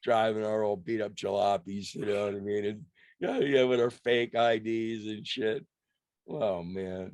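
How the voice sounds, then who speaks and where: Against a quiet background, a man with an American accent speaks fairly slowly at a fairly low pitch. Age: 60s. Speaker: rock musician. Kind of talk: casual interview chat. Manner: animated.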